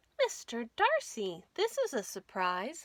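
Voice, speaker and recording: A woman uses a put-on character voice pitched high. Her pace is fairly slow. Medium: read story.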